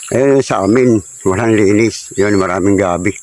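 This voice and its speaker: Against noticeable background noise, a man speaks slowly and in a fairly low pitch, keeping a fairly slow pace. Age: 50s. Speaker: vlogger. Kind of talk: casual walking vlog narration. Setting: outdoors.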